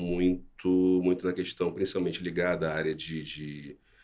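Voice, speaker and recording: With a Rio de Janeiro accent, a man speaks at a fairly slow pace in a very deep, low voice with fairly even intonation. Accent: carioca. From Brazil, Rio de Janeiro (west zone). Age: 40s. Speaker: cybersecurity professional. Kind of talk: interview.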